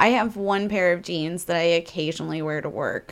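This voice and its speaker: This woman has a normal speaking voice, fairly low in pitch, with an American accent. She talks at a moderate pace in a very clean recording with a silent background. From Missouri, US. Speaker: podcast co-host and burlesque performer. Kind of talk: casual chat.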